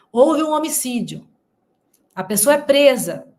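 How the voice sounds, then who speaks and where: At a moderate pace, the somewhat breathy speech shows ordinary pitch variation. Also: woman. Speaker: news commentary youtuber. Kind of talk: online commentary.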